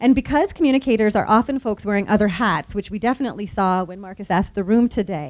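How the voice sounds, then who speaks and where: Talking at a fairly quick pace, a woman uses a medium pitch with ordinary pitch variation. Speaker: nonprofit communications speaker. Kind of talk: conference presentation. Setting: room with live audience. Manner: fast.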